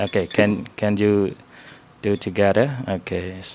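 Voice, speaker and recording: A man talks with a Khmer accent. His pace is very slow. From Cambodia. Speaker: Buddhist monk teaching visitors. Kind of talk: informal talk to visitors. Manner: hesitant, many fillers.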